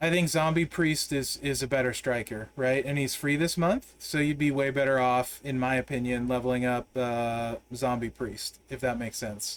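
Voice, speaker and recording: Here a man uses a normal speaking voice at medium pitch. He keeps a moderate pace and fairly even intonation with hardly any pauses. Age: 40s. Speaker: game streamer. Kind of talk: casual live-stream gameplay commentary chatting with viewers. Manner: relaxed, conversational with many fillers.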